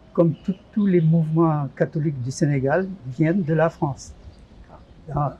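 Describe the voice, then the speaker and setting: A man with a fairly high voice speaks at a very slow pace over noticeable background noise. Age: 70s. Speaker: retired parish lay association leader. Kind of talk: interview. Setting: studio.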